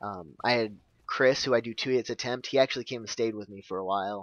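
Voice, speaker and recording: Speaking at a very fast pace, a man holds a medium pitch with fairly even intonation. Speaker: gaming YouTuber. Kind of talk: gameplay commentary. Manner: stuttering; casual, rambling.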